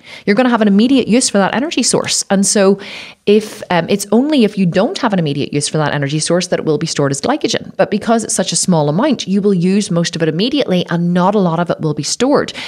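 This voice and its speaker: Very fast, animated delivery with lively intonation and hardly any pauses, over noticeable background noise. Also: woman, medium pitch for a woman. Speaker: podcast host and health coach. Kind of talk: teaching monologue.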